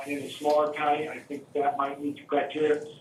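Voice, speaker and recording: Audible room echo surrounds a man talking at a fairly quick pace with a fairly high pitch. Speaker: superintendent search consultant. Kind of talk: presentation at board meeting; answering board questions. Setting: school board meeting. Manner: fast.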